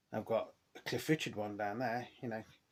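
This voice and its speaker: A man with an English accent talks at a very fast pace. His intonation stays fairly even. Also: very clean recording, silent background. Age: 50s. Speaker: record collector YouTuber. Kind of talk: casual vlog monologue. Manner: hesitant, many fillers.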